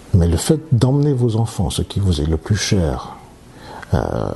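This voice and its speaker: Very wide pitch swings mark a man's voice as he talks at a fairly slow pace. Noticeable background noise is present. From Martinique, childhood in Africa and Europe. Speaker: surgeon and oncologist. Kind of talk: interview. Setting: at his home. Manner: halting, many hesitations.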